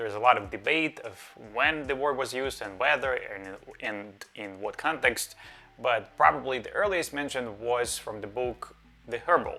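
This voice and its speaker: A man's medium-pitched voice in a Russian accent, with ordinary pitch variation and music in the background. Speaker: psychiatrist, educational video host. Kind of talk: educational talk.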